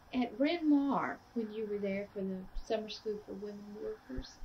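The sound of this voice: A woman's medium-pitched voice with ordinary pitch variation, at a moderate pace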